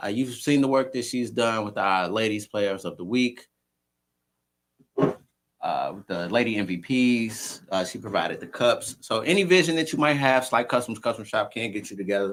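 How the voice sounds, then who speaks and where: Man's medium-pitched voice with an American accent, at a moderate pace, with ordinary pitch variation and big swings in loudness. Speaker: flag football podcast host. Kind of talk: casual podcast chat with sponsor reads. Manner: stumbling over words.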